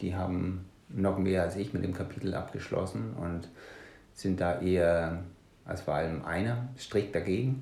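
Speaking at a moderate pace with a slight Danish accent, a man has a very deep, low pitch, a dark, mellow tone, ordinary pitch variation and a somewhat breathy quality, with audible room echo around him. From Denmark. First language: Danish (speaking German). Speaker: punk musician and author. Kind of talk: casual interview.

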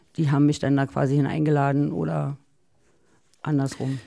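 A woman speaks at a moderate pace with a very deep, low pitch and a dark, mellow tone, captured in a very clean recording against a silent background. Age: 40s. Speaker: DJ. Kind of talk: casual chat. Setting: studio.

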